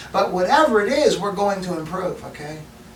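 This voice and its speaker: Noticeable background noise and audible room echo surround this recording. A man talks at a fairly quick pace. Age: 60s. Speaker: video essayist, science and faith commentator. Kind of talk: solo talk to camera. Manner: repetitive stammering restarts; animated.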